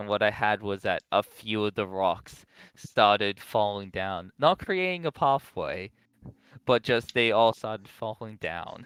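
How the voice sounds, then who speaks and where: An unremarkable speaking voice from a man with an American accent, fairly low in pitch, at a fairly slow pace with lively intonation, on a very clean recording with a silent background and a dry, close sound with no echo. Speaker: podcast guest answering chat questions. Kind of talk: casual chat.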